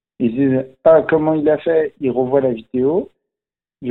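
A man's fairly high voice moves at a fairly slow pace. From France, Algerian Berber (Kabyle) family. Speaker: magician. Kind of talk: casual interview.

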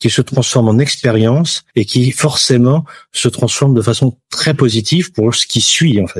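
Recorded very cleanly against a silent background, a man speaks at a medium pitch with lively intonation and a somewhat breathy quality. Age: 50s. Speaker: insurance broker. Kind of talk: interview.

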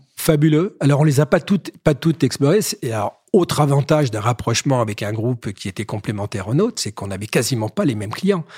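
A man's somewhat breathy voice at a very fast pace, very wide pitch swings, dry and close with no echo, on a very clean recording with a silent background. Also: medium pitch for a man. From Paris. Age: 60s. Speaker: business executive. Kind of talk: interview. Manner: halting, repeats words.

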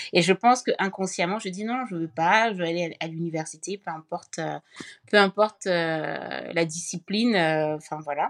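Here a woman uses an ordinary speaking voice, fairly low in pitch with ordinary pitch variation. She keeps a moderate pace, and the sound is dry and close with no echo. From Cameroon. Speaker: social entrepreneur and author. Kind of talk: casual interview conversation.

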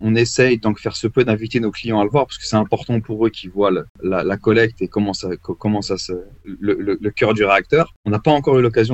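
A man talks at a fairly quick pace in an ordinary speaking voice. His pitch is fairly low, with ordinary pitch variation. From Paris suburbs, Val d'Oise. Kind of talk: podcast interview.

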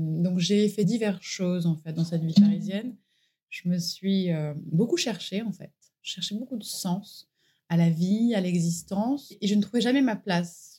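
A woman's somewhat breathy, medium-pitched voice with a dark, mellow tone at a fairly slow pace. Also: ordinary pitch variation. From southern France, Var. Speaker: naturopath. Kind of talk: interview. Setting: at her home.

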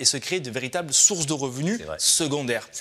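A man's fairly high voice, fairly quick and with lively intonation, over noticeable background noise. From southwest France. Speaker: real estate investment trainer, founder. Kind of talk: radio interview.

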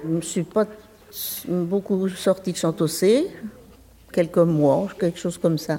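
A woman at a fairly low pitch and a very slow pace, with ordinary pitch variation and noticeable background noise. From France, Anjou countryside (Maine-et-Loire). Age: 80s+. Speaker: retiree, workshop participant. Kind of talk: casual chat. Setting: community centre. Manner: halting.

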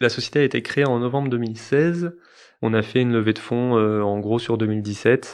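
An unremarkable speaking voice from a man at medium pitch, moderate pace and ordinary pitch variation, over a quiet background. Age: 30s. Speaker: startup CEO. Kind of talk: interview.

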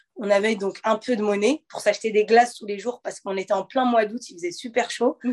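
A woman with a plain, everyday voice talks fairly quickly at a fairly high pitch, her intonation fairly even. Her loudness swings widely, and the sound is dry and close with no echo. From Normandy, France (Le Havre). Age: 20s. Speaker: professional boxer. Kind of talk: interview.

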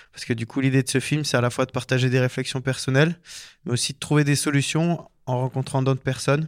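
On a very clean recording with a silent background, a man speaks at a very fast pace in a medium pitch with monotone, flat intonation. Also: dry, close sound with no echo. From French Alps (Hautes-Alpes, Embrun). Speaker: professional skier and filmmaker. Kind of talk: interview. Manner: hesitant, many fillers.

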